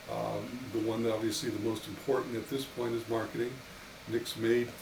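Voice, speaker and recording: Amid noticeable background noise and audible room echo, a man talks at a fairly quick pace with medium pitch. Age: 60s. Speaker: winery owner. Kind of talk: casual interview. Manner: halting, many repeated words.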